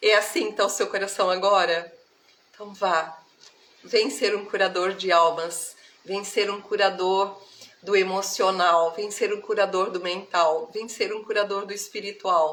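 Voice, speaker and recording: A woman speaks at a fairly slow pace and a medium pitch. Her intonation is fairly even, and noticeable background noise is present. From Brazil, countryside (interior). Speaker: spiritual therapist. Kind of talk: live stream spiritual talk. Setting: live stream. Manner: warm, affectionate.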